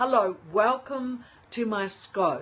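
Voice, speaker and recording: This woman speaks in an Australian accent. Her pitch is fairly high. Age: 60s. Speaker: leadership coach, livestreamer. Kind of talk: live-stream talk to viewers. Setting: live stream from home balcony.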